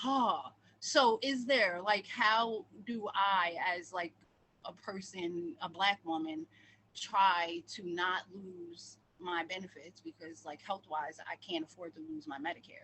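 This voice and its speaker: The speech is loud and comes at a very slow pace. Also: woman, medium pitch for a woman, lively intonation. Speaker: audience member, community committee volunteer. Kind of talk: question from audience.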